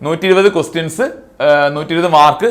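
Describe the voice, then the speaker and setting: This is a man with an ordinary speaking voice. His pitch is fairly high, with ordinary pitch variation. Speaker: exam coaching teacher. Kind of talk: online class tutorial. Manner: conversational, repetitive.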